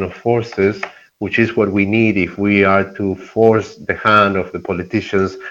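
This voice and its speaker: A man with a Spanish accent, fairly low in pitch, at a moderate pace against a quiet background. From Argentina. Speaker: environmental activist. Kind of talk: interview.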